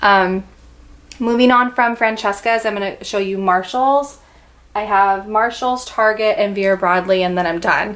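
This is an unremarkable speaking voice. It moves at a fairly slow pace. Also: woman, medium pitch for a woman. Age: 30s. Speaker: lifestyle vlogger. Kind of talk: haul video. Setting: home recording by natural light. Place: home room. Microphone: camera far.

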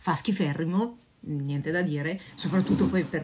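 At a moderate pace, a woman uses an ordinary speaking voice, fairly low in pitch, with fairly even intonation. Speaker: dog trainer answering viewers. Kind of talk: casual live Q&A chat. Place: home room. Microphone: phone near.

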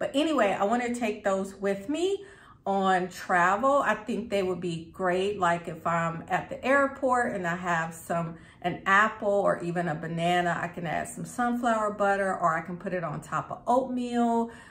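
Speaking at a moderate pace, the woman uses ordinary pitch variation. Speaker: lifestyle vlogger. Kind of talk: casual vlog chat. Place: kitchen. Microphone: phone near.

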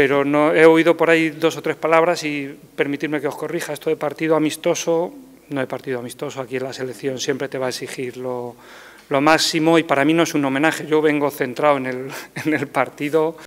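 The speaker goes at a fairly quick pace with monotone, flat intonation. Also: man, fairly high pitch for a man. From Spain, Albacete. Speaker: football coach. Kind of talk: press conference. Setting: press room. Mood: firm, correcting. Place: hall. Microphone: podium.

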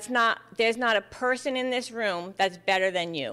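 A woman speaks in a fairly high pitch with ordinary pitch variation. Her tone comes across bright and sharp. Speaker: pastor. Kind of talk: sermon. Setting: church. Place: church. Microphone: podium.

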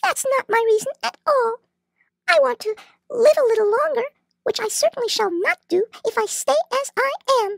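A put-on character voice at an extremely high pitch, with a moderate pace and long, frequent pauses. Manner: fearful, self-pitying.

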